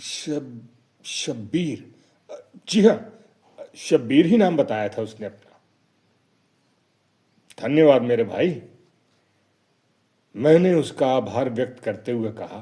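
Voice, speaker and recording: A man's medium-pitched voice, dark and mellow in tone, with lively intonation and big swings in loudness. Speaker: radio drama and theatre actor. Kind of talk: short story narration.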